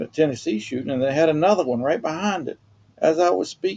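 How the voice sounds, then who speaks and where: A man with a dark, mellow tone talks at a fairly quick pace in a Southern US accent. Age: old. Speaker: retired homeowner vlogger. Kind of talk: casual talk to camera. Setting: outdoors.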